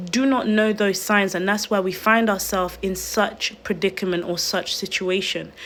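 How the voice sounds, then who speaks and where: At a moderate pace, a woman talks at a medium pitch in an unremarkable speaking voice. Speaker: online video host. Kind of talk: livestream talk. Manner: earnest, pleading.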